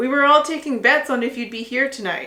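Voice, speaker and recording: Putting on a character voice, a woman talks in a raised, projected, high-pitched voice at a fairly quick pace. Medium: read story. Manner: loud, enthusiastic.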